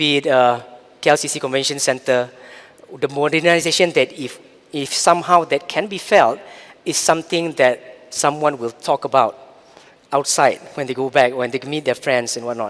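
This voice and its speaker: A man with a fairly high pitch talks at a moderate pace, using an ordinary speaking voice and ordinary pitch variation. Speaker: corporate digital strategy executive. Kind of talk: conference keynote. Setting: stage with audience.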